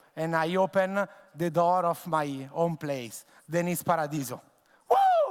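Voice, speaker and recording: Speaking with an Italian accent at a fairly slow pace, a man with a high pitch shows ordinary pitch variation. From Italy, Tuscany. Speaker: bartender and bar owner. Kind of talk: conference presentation. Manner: halting, many fillers.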